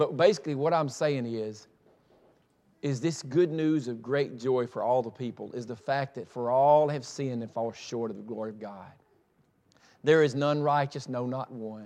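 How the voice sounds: Ordinary pitch variation and a slightly mellow tone. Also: man, medium pitch for a man, moderate pace.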